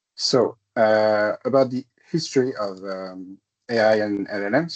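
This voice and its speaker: A man speaks with a French accent. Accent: non-native English, French-speaking. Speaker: tech consultant presenter. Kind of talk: technical presentation. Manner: hesitant, many fillers.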